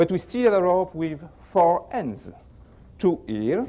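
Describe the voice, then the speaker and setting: A man with a French accent speaks very slowly at a high pitch, his tone dark and mellow. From France. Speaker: magician. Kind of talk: magic performance patter.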